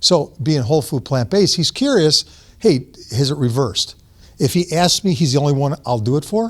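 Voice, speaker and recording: Delivered at a fairly quick pace, the speech has lively intonation and a somewhat breathy quality. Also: man. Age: 60s. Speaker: diet advocate speaker. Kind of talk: talk to audience with Q&A. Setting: church hall with audience.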